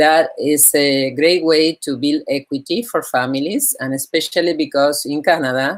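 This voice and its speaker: With a Spanish accent, a woman with a very deep, low pitch talks at a moderate pace, with ordinary pitch variation and hardly any pauses. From Argentina, Buenos Aires. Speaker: real estate broker. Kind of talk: interview. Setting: live online discussion.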